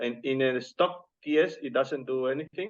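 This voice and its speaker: A man speaks at a fairly slow pace with a non-native accent. His pitch sits fairly high. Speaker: hardware developer. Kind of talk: technical discussion.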